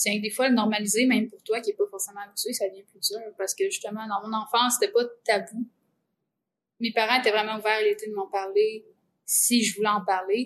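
Speaking with a Quebec accent, a woman uses a fairly high, somewhat breathy voice at a fairly quick pace, her intonation monotone and flat while her loudness swings widely. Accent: Québécois French. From Centre-du-Québec, Quebec. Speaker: composer. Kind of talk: casual chat.

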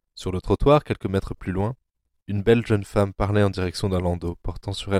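Over a quiet background, someone reads in a natural voice.

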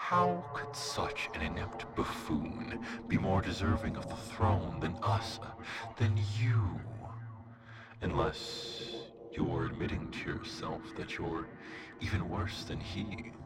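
A man's put-on character voice at medium pitch and a fairly slow pace, with loud background noise. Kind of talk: archaic theatrical villain speech. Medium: audio drama. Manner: silky, tempting, later grandly menacing.

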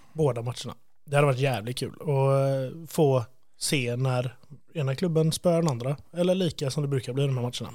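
Fairly high-pitched for a man, his dark, mellow voice holds fairly even intonation at a moderate pace. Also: very clean recording, silent background. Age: 30s. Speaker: podcast host. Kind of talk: casual chat.

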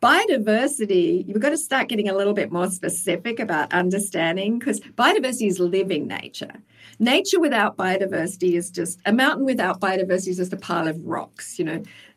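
Speaking very fast with hardly any pauses, a woman has an Australian accent. Her medium-pitched voice carries lively intonation. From Tasmania, Australia. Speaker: wildlife biologist and sustainability advisor. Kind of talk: interview.

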